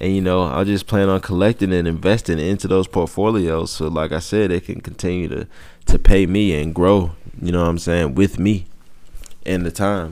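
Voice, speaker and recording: The speaker keeps a relaxed tone and a moderate pace. The intonation stays fairly even. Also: man, very deep, low pitch for a man. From Georgia, US South. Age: 20s. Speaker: podcast host. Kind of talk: casual monologue. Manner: relaxed, conversational.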